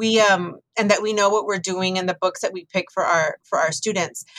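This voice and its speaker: Recorded dry and close with no echo, a woman with an American accent talks at a moderate pace with ordinary pitch variation. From US South, Texas border (Rio Grande Valley). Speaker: librarian and author. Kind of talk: interview conversation.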